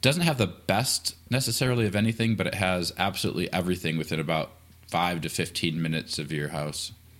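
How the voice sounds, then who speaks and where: Speaking at a very fast pace, a man uses a very deep, low pitch and an American accent. His intonation is lively. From Michigan. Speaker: army veteran, defense contractor. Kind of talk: casual interview chat.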